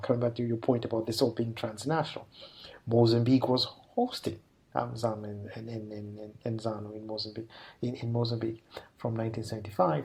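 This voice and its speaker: A man's medium-pitched voice comes through somewhat breathy, with a dark, mellow tone. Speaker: associate professor in African politics. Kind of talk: interview answer. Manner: hesitant, many fillers.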